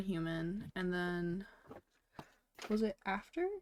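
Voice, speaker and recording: A woman mumbles her words. Her pitch varies in an ordinary way. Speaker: VTuber streamer. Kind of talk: casual livestream chat while drawing. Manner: mumbling; frequent fillers, casual. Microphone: sounds a bit quiet.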